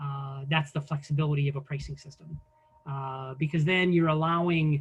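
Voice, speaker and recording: A man talks in a fairly high, somewhat breathy voice with monotone, flat intonation. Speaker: business software presenter. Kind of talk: conference presentation. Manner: fast; hesitant with fillers.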